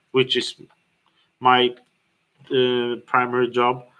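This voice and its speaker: In a non-native accent, a man with a medium pitch and a bright, sharp tone speaks at a very slow pace. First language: not English. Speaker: business owner and fitness studio co-founder. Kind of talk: livestream tutorial. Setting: livestream. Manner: halting, many fillers and restarts.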